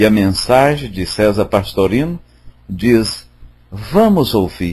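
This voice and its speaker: A man speaks at a very slow pace with a fairly low pitch. His voice is somewhat breathy and his intonation lively. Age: 60s. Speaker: spiritist study group leader. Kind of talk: religious study talk. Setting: online voice chat room.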